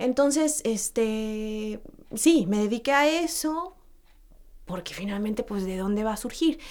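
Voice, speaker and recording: In a Mexican accent, a woman with a fairly high pitch talks at a fairly slow pace with lively intonation. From Mexico. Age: 40s. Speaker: actress and voice coach. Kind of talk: casual interview chat. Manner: hesitant, many fillers.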